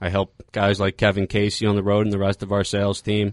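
A man with an American accent speaks at a fairly quick pace in an unremarkable speaking voice, his pitch fairly low. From Philadelphia. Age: 30s. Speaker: cigar company sales manager. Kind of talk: casual interview. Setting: studio.

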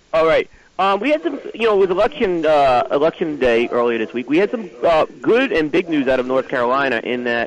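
The speaker talks at a fairly quick pace with lively intonation over noticeable background noise. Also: man. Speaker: industry news correspondent. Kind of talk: casual chat. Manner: halting.

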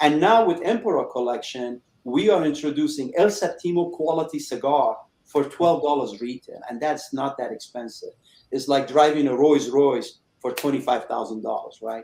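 The speaker has a normal speaking voice, with lively intonation at a moderate pace. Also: man, fairly high pitch for a man. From Iran, moved to Chicago at 13. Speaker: cigar company owner, former auto executive. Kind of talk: interview.

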